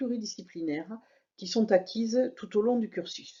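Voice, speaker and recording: With a Toulouse accent, a woman speaks at a moderate pace in a fairly high voice with ordinary pitch variation. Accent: southern French (Toulouse). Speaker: university lecturer. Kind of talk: program presentation. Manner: formal.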